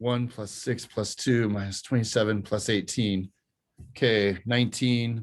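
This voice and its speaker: A man's medium-pitched, a normal speaking voice, fairly slow, with fairly even intonation, on a very clean recording with a silent background. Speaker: math professor. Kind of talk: lecture.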